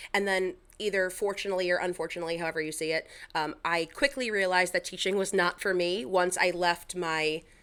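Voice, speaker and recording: A bright, sharp tone with a Long Island accent, a fairly quick pace, ordinary pitch variation, and a very clean recording with a silent background. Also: woman. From Long Island, New York. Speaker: Instagram content creator. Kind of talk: podcast interview. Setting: podcast recording.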